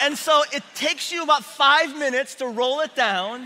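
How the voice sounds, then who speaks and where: A man speaks in a raised, projected voice at a fairly slow pace. His pitch varies in an ordinary way, with light background noise behind him. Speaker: preacher. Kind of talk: sermon. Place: church.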